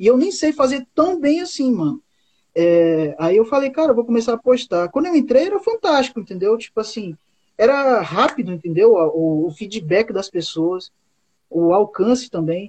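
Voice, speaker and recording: A man's extremely high voice with very wide pitch swings at a moderate pace. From Amazonas, Brazil (Boca do Acre). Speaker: comic artist and songwriter. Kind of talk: casual chat.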